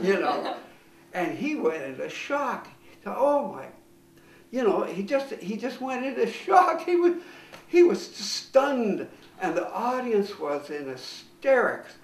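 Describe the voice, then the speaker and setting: Over noticeable background noise, a man with a Canadian accent speaks at a fairly slow pace with an extremely high pitch and very wide pitch swings. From Canada. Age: 80s+. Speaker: comedian. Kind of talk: interview answer.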